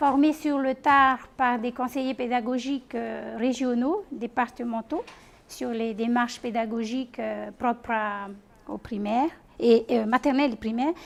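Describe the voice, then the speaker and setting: Speaking at a fairly slow pace, a woman with a Tahitian accent uses a high pitch and fairly even intonation. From French Polynesia, Tahiti east coast (Tautira). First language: Tahitian (speaking French). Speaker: teacher trainer and doctoral researcher. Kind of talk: conference presentation. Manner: halting, many hesitations.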